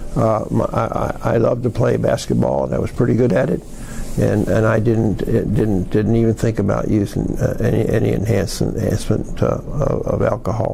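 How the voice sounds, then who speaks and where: A man with an American accent speaks at a moderate pace and very even loudness. Noticeable background noise and audible room echo fill the recording. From US South, East Tennessee. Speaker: addiction recovery advocate. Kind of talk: interview, life story. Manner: halting, many repetitions and fillers.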